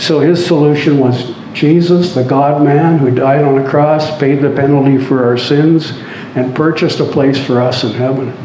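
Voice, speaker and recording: Over noticeable background noise and audible room echo, a man with a Canadian accent speaks fairly slowly at a fairly high pitch, his intonation fairly even. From southern Ontario, Canada. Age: 70s. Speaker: speaker sharing life story. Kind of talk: testimony. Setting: stage with audience. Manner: halting, many fillers.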